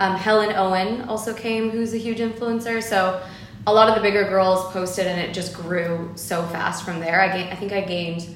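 A woman with an American accent speaks at a moderate pace with fairly even intonation, against noticeable background noise. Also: medium pitch for a woman. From Los Angeles, US. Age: young. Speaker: entrepreneur, marketing agency owner. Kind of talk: interview, casual chat.

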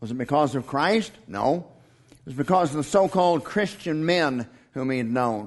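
Loudness swings widely as a man with an unremarkable speaking voice talks at a moderate pace and a fairly high pitch. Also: lively intonation. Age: 50s. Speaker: pastor. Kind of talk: sermon.

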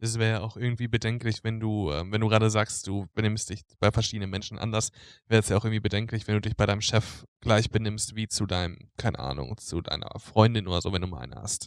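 On a very clean recording with a silent background, a man talks very fast at a fairly low pitch with ordinary pitch variation and hardly any pauses. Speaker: social work student. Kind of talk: casual chat. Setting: lying on his bed. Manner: halting.

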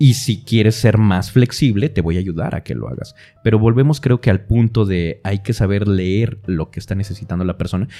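A man's dark, mellow voice at fairly low pitch, moderate pace, ordinary pitch variation and hardly any pauses. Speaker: voice actor / announcer podcast co-host. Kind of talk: casual chat.

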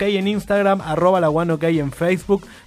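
A man with a high pitch talks in an animated tone at a moderate pace. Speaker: radio host. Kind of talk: radio ad read. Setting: radio studio.

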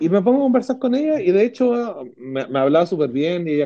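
A man with a Chilean accent has a dark, mellow tone and very wide pitch swings. He talks at a fairly quick pace. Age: 40s. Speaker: podcast co-host. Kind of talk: casual chat.

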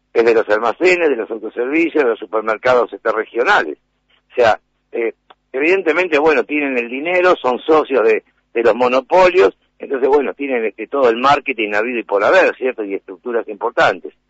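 A man talks at a fairly quick pace. His medium-pitched voice has lively intonation. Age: 50s. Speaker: shopkeepers' association leader. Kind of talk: radio interview. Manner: halting, many repetitions and fillers.

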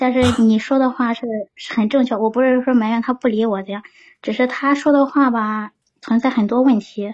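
A woman's high voice at a fairly quick pace, with fairly even intonation over a quiet background. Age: 30s. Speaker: caller. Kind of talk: call-in advice chat.

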